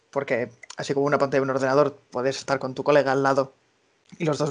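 The delivery is very fast, and the background stays quiet. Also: man. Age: 20s. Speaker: association collaborator. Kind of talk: interview. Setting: remote call.

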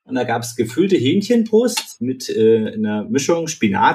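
A man's voice with very wide pitch swings at a fairly slow pace. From Eisenach area, Thuringia, Germany. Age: 30s. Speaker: startup co-founder, hardware developer. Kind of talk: casual interview.

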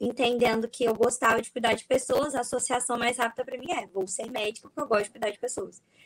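With fairly even intonation, a woman talks in a high pitch. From Espírito Santo, Brazil. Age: 20s. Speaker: neuropsychologist. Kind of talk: casual chat. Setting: video call.

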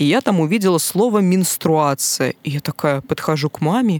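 A woman with a very deep, low pitch speaks at a moderate pace with ordinary pitch variation. The recording is very clean and silent behind her, with a dry, close sound and no echo. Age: 20s. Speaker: podcast guest. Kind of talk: casual chat. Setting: studio.

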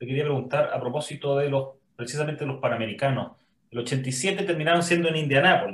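With a normal speaking voice, a man speaks at a fairly quick pace, fairly high in pitch, with ordinary pitch variation. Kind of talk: interview conversation.

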